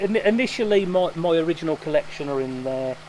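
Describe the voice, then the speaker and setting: A man keeps a moderate speaking rate while clear background noise carries on around him. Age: 50s. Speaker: koi dealer. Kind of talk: interview. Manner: halting, with repetitions and fillers.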